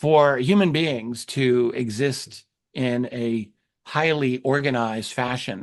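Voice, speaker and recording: Over a quiet background, the voice moves at a very slow pace with ordinary pitch variation. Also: man, medium pitch for a man. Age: 60s. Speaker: UFO researcher and historian. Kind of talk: interview conversation.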